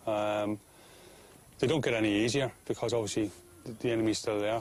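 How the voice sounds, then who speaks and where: Very fast speech in a Cork accent, flat and monotone in intonation. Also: man. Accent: Cork Irish. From Ireland, Cork. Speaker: soldier. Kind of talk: documentary interview. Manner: halting.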